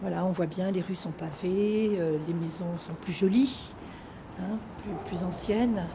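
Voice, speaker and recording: A woman's medium-pitched voice at a very slow pace, with fairly even intonation and noticeable background noise. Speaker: amateur actor. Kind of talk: guided walk; interview.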